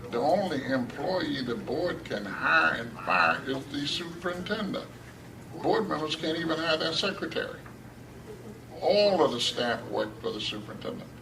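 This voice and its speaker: A man's fairly high voice with very wide pitch swings, over noticeable background noise. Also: moderate pace. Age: 70s. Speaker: school board member. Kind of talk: hearing testimony.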